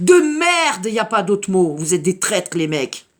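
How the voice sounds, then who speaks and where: On a very clean recording with a silent background, a woman speaks very slowly with very wide pitch swings. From Paris suburbs, France (Sarcelles, Val-d'Oise). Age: 50s. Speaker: activist mother. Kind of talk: impassioned video message. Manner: animated.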